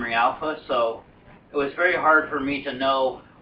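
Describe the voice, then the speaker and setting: A man speaks at a fairly high pitch. Noticeable background noise runs behind him. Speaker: podcast host. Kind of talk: casual chat.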